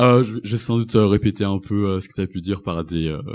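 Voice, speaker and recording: This man has an unremarkable speaking voice at a fairly low pitch. He talks at a fairly quick pace with ordinary pitch variation. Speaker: student and anti-racist activist. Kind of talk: live panel discussion. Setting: stage with audience.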